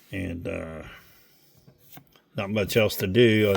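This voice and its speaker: Relaxed in tone, a man speaks at a fairly low pitch. His intonation stays fairly even. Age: 60s. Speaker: diecast car collector YouTuber. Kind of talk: casual vlog. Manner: casual, relaxed.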